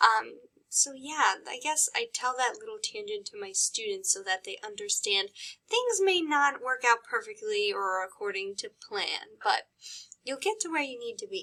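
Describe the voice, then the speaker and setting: The voice is raised and projected, bright and sharp in tone, swinging very widely in pitch at a moderate pace. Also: woman, high pitch for a woman. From US Midwest, Chicago. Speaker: college psychology instructor. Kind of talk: recorded course introduction lecture. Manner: casual, conversational with fillers.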